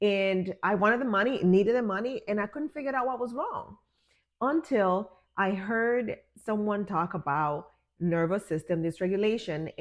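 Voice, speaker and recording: In a normal speaking voice, a woman with a medium pitch talks at a moderate pace with lively intonation against a quiet background. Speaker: wellness and business coach. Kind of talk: guided healing talk to camera.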